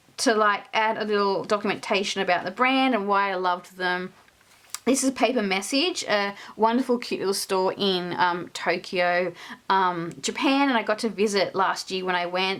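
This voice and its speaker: A woman's medium-pitched voice in an Australian accent, at a moderate pace with ordinary pitch variation. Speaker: stationery and journaling youtuber. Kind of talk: casual show-and-tell flip-through. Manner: casual, many filler words.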